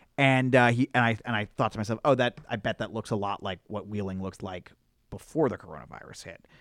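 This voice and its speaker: Here is a man with an unremarkable speaking voice at a medium pitch and ordinary pitch variation. He goes at a fairly quick pace on a very clean recording with a silent background. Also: dry, close sound with no echo. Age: 30s. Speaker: podcast co-host. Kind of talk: casual chat.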